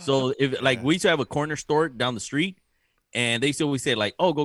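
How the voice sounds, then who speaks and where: A man's plain, everyday voice at a medium pitch and a fairly quick pace. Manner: upbeat, playful, rapid, teasing.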